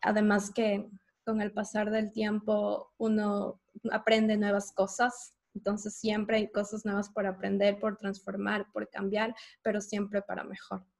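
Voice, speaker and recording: A woman's somewhat breathy, medium-pitched voice with monotone, flat intonation at a fairly slow pace. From Ecuador. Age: 30s. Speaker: podcast host. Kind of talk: casual chat.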